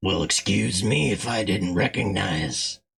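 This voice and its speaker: Putting on a character voice, a man growls out a raspy, very deep, low pitch with lively intonation at a fairly slow pace. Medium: game stream.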